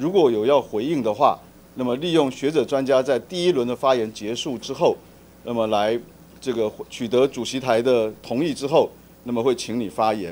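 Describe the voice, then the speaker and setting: A man speaks with a Taiwanese accent at medium pitch. His intonation is lively and his pace moderate. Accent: Taiwanese Mandarin. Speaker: committee chair at legislative hearing. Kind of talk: formal hearing moderation. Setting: legislative committee room.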